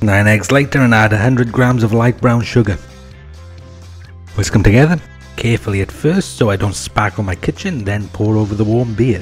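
A man's fairly low voice with lively intonation at a moderate pace, music in the background. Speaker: home cook narrator. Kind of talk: casual cooking commentary.

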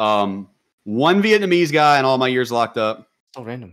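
Speaking with an American accent, a man sounds animated, his intonation lively. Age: 20s. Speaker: gaming content creator and former prisoner; podcast guest. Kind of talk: casual podcast interview. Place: home room.

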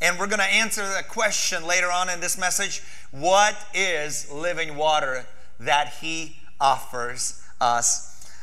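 In a bright, sharp tone, a man speaks at a fairly slow pace against a quiet background. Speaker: pastor. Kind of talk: sermon. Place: church. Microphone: lapel.

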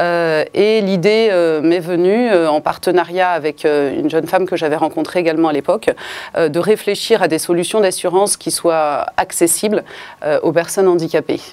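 This woman talks at a moderate pace in a fairly low pitch, keeping her intonation fairly even. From Paris, France. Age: 40s. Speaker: insurance broker. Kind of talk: interview testimony. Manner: hesitant, many fillers. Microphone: lapel.

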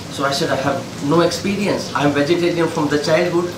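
A man's high-pitched voice at a fairly quick pace, fairly even in intonation, over noticeable background noise. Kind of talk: interview answer. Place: kitchen. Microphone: camera far.

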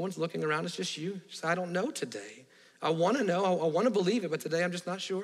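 A man speaks at a very fast pace in a high voice. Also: ordinary pitch variation. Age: 40s. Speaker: pastor. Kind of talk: sermon; altar-call invitation at close of sermon, heads bowed. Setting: church. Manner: quieter than usual; hushed, intimate, earnest pleading. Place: church.

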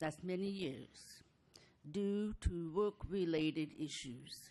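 Woman with a dark, mellow tone, very slow pace and ordinary pitch variation. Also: fairly low pitch for a woman. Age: 60s. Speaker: mobile home park resident at public comment. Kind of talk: public comment at council meeting. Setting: city council chamber.

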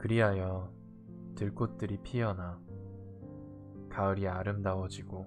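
A man's very deep, low voice with ordinary pitch variation over music in the background. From Korea. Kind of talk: poetry reading. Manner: soft-spoken, slow.

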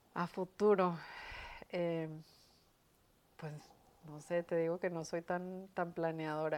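Very slow and monotone, a woman speaks in a fairly low voice with flat intonation, long, frequent pauses, and big swings in loudness. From northern Mexico, Chihuahua. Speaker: educator and university administrator; educator. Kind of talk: interview. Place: studio. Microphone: lapel.

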